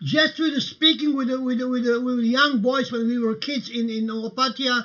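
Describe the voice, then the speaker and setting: A man speaks with an extremely high pitch and ordinary pitch variation. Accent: Croatian. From Croatia. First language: Croatian. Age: 60s. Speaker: livestream host. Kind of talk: casual livestream talk. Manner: halting, many fillers.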